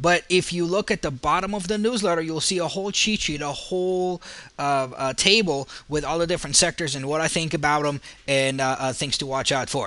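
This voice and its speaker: A man's bright, sharp voice, fairly high in pitch, at a fairly quick pace with ordinary pitch variation. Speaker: stock market analyst. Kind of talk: market analysis video commentary. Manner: fast; frequent fillers and repetitions.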